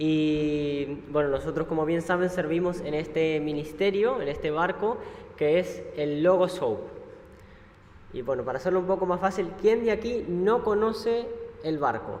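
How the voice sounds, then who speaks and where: A man with an Argentine accent speaks at a high pitch and a fairly slow pace, with ordinary pitch variation. Room echo is audible. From Argentina. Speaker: missionary ship crew member. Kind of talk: church talk presentation. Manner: hesitant, many fillers.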